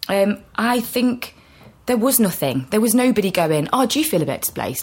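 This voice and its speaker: This woman's fairly high voice has vocal fry and swings very widely in pitch. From England, Nottingham. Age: 20s. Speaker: actor. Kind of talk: casual chat. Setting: cafe.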